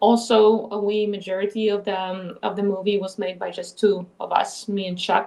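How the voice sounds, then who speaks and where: A woman speaks with a Polish accent at a moderate pace. Her intonation is monotone and flat. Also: medium pitch for a woman, hardly any pauses. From Poland. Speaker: filmmaker and actress. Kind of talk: casual chat.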